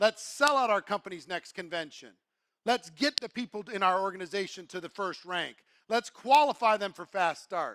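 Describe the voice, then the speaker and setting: The voice is animated, with a bright, sharp tone. The recording is very clean, with a silent background and a dry, close sound with no echo. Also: man, high pitch for a man, ordinary pitch variation, moderate pace. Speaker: network marketing speaker. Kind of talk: motivational talk.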